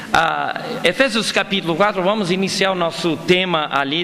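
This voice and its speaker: A man talks while noticeable noise sits in the background. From Brazil, Amazonas (Manaus), son of foreign missionaries. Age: 50s. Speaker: pastor. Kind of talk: sermon. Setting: church. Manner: halting.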